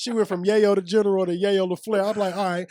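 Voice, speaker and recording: The speaker has an energetic tone over crowd noise in the background. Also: man. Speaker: podcast co-host. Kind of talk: casual slang, profane. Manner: energetic, hype.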